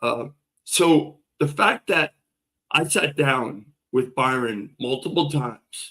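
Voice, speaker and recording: An animated man's medium-pitched voice with ordinary pitch variation. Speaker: political defendant interviewed about his case. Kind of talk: interview. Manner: loud.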